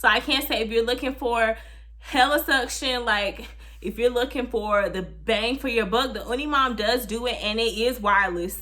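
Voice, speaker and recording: Her tone is bright and sharp, with vocal fry and a fairly high pitch. The woman keeps ordinary pitch variation and a moderate pace. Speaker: vlogger, new mother. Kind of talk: casual vlog talk to camera.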